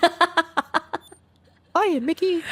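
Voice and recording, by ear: This is a put-on character voice at an extremely high pitch.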